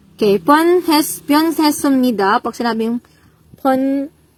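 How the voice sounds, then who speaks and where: Lively intonation carries the speech along at a fairly slow pace. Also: woman. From Eastern Visayas, Philippines (Waray). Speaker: Korean language exam review teacher. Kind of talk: tutorial. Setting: livestream.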